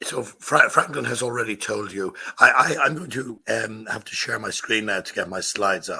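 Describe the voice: In a put-on character voice, a man talks at a moderate pace with a hoarse, medium-pitched sound and big swings in loudness.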